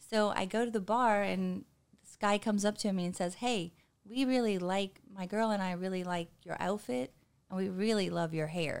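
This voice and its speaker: At a moderate pace, a woman of medium pitch talks with ordinary pitch variation and big swings in loudness. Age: 50s. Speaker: podcast guest telling life stories. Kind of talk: casual chat. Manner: animated.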